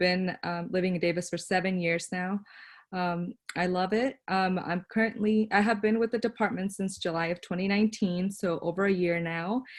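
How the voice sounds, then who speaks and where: A plain, everyday voice with an American accent. It moves at a moderate pace with fairly even intonation. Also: woman, medium pitch for a woman. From Northern California. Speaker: academic advisor. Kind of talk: presentation.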